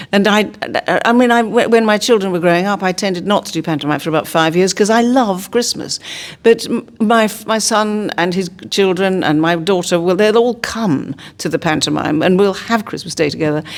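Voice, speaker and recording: Her medium-pitched woman's voice, an unremarkable speaking voice, keeps a moderate pace with ordinary pitch variation. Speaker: actress. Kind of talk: interview answer. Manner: warm, chatty.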